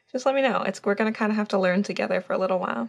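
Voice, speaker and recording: A woman mumbles at a medium pitch. The recording is very clean, with a silent background. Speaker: painter. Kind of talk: casual talk while painting. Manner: mumbling; hesitant, many fillers.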